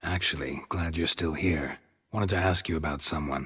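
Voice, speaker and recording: Delivered at a moderate pace, this put-on character voice is raspy and deadpan, with fairly even intonation. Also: man, very deep, low pitch for a man. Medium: video game. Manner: terse, deadpan.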